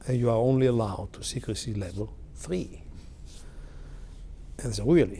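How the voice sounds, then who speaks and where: Speaking with long, frequent pauses, a man uses a medium pitch, a dark, mellow tone, ordinary pitch variation and a somewhat breathy sound. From Italy, Milan area. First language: Italian. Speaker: technology executive. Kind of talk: oral history interview. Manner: halting, many fillers.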